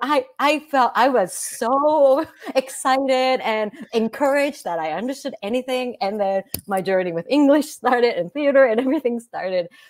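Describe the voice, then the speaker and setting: Speaking with a Japanese accent at a moderate pace, a woman uses a high-pitched voice that makes very wide pitch swings. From Japan, Kanazawa. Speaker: Broadway actress. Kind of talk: casual interview. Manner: halting, many fillers.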